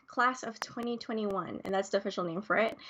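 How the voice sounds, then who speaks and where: Female speech with noticeable noise in the background. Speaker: livestream host. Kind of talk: live stream hosting. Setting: online livestream. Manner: hesitant, many fillers.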